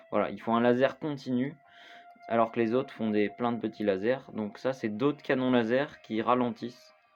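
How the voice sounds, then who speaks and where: With music playing in the background, a man talks in a fairly even intonation. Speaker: gaming youtuber. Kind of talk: gameplay tutorial. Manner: halting, many fillers.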